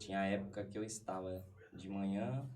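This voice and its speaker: Amid audible room echo, a man with a São Paulo accent talks fairly slowly at a fairly low pitch, his voice somewhat breathy with a dark, mellow tone. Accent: Paulistano Brazilian Portuguese. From Brazil, São Paulo East Zone. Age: 30s. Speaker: podcast guest. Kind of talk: casual interview chat. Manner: hesitant, many fillers.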